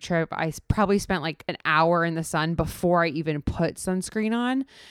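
A woman speaks with an American accent at a fairly low pitch and moderate pace. The recording is very clean and dry, close with no echo, over a silent background. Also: hardly any pauses. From US South, South Florida. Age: 30s. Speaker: podcast host, comedy writer. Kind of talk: casual monologue. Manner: casual, many fillers.

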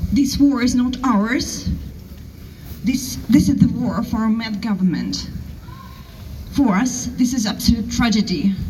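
A woman speaks at a fairly slow pace with long, frequent pauses. Audible room echo and noticeable background noise surround her voice. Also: fairly high pitch for a woman, ordinary pitch variation. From Russia. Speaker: protest speaker. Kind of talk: rally speech.

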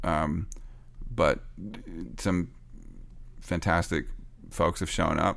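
A man with a Canadian accent and vocal fry, lively intonation at a moderate pace, on a very clean recording with a silent background. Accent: Canadian pronunciation. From Canada. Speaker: record producer and songwriter. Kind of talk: interview. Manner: halting.

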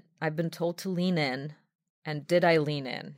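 A plain, everyday voice from a woman, fairly low-pitched, with fairly even intonation at a moderate pace. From outside the US, non-native English speaker. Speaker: venture capital consultant. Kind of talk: casual interview conversation. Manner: fluent but with frequent filler 'um'.

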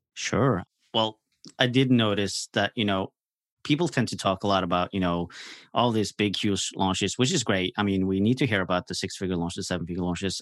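Against a quiet background, a man with a Norwegian accent speaks at a fairly quick pace with a fairly low pitch and ordinary variation, in a dry, close sound with no echo. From Norway. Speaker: launch strategist and podcaster. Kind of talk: casual interview.

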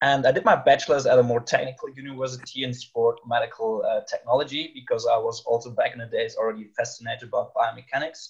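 Very fast male speech with a German accent and hardly any pauses. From Germany, Rhine near Cologne. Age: 20s. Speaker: master's student. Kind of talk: casual interview. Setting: video call.

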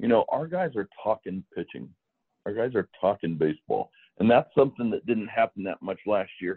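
Lively in intonation, an unremarkable speaking voice proceeds at a moderate pace. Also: man, medium pitch for a man. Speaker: baseball pitching coach. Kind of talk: interview chat.

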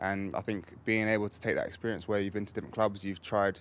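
In an English accent, a man talks at a fairly low pitch with monotone, flat intonation. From England. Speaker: football goalkeeper. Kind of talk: casual interview. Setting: club training centre.

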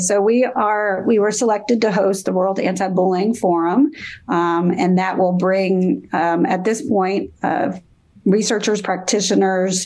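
A woman with a normal speaking voice talks at medium pitch and a fairly slow pace, with ordinary pitch variation. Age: 50s. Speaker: professor and bullying researcher. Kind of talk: interview.

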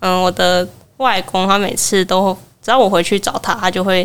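A woman with a normal speaking voice at a moderate pace. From Taiwan, Kaohsiung. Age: 20s. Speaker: university student. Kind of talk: interview, personal memories. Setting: live podcast booth at a festival.

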